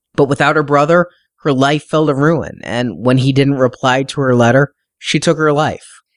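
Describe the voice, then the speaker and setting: Against a quiet background, a man with an unremarkable speaking voice talks at a moderate pace and a fairly high pitch. His intonation is fairly even and his loudness very even. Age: 40s. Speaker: podcast host and book reviewer. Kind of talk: book review.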